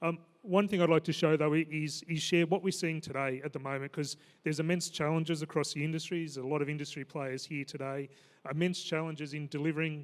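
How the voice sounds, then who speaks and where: In an Australian accent, a man rattles along at a very fast pace with a fairly high pitch and flat, monotone intonation. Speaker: maritime safety regulator. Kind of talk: conference panel talk.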